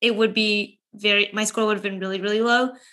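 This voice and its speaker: A woman speaks in a normal speaking voice at a fairly quick pace. Her pitch sits fairly high, with ordinary pitch variation. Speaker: podcast co-host. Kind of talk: casual chat.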